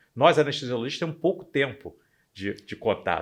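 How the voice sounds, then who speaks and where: Using a normal speaking voice, a man talks fairly quickly with ordinary pitch variation. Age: 60s. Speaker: anesthesiologist. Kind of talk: podcast interview.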